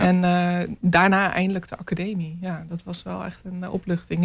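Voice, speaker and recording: A woman with a normal speaking voice, a medium pitch, fairly even intonation and a fairly quick pace. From Netherlands, near Rotterdam (Maassluis). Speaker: visual artist. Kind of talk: radio interview.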